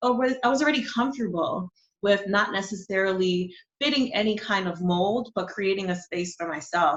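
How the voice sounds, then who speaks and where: With a New York accent, a woman speaks at a moderate pace. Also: medium pitch for a woman, ordinary pitch variation. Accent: New York American English. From New York City, born in Honduras. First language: Spanish. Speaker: marketing and brand strategist. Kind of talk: interview.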